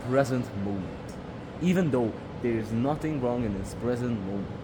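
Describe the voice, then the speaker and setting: A man speaks in a relaxed tone with a Hungarian accent at a moderate pace. Noticeable background noise and audible room echo fill the recording. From Hungarian minority in Romania. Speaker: vlogger. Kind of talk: casual vlog talk. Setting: climbing gym. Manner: relaxed, hesitant with fillers.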